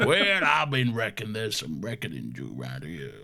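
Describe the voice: A man puts on a gruff character voice with a fairly low pitch. He speaks at a fairly quick pace over light background noise.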